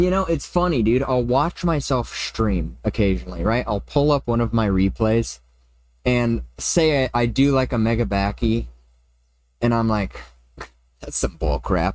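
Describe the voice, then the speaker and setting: Fairly slow speech from a man, on a very clean recording against a silent background. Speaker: video game streamer. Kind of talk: live gaming stream chat. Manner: casual, animated; louder than usual.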